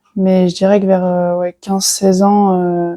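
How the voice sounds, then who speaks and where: With a dark, mellow tone at medium pitch, a woman speaks at a fairly slow pace in monotone, flat intonation. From France (Burgundy/Lyon). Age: 20s. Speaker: professional tennis player. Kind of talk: interview. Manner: hesitant, many fillers.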